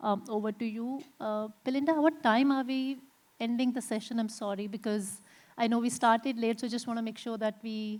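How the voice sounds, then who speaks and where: An ordinary speaking voice at a fairly quick pace, with fairly even intonation, in a very clean recording with a silent background. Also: woman, fairly high pitch for a woman. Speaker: panel moderator. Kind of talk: panel discussion moderation. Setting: conference stage with audience.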